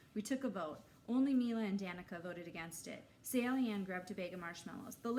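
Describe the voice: Simply plain reading aloud.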